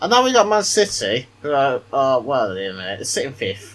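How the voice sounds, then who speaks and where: A man with a British accent at a moderate pace. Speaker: gaming YouTuber. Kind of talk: gameplay commentary. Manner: quiet.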